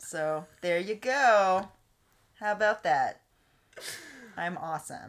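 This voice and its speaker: Speaking very slowly with a Texan accent, a woman uses a medium pitch and lively intonation, leaving long, frequent pauses. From Texas. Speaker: guest. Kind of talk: casual chat.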